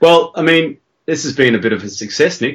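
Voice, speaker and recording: At a moderate pace and with ordinary pitch variation, a man talks with an Australian accent. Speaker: podcaster, writer. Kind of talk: casual chat, podcast.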